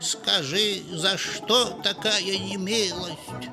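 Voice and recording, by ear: Over clear background music, a man in a put-on character voice speaks very slowly at a high pitch with fairly even intonation.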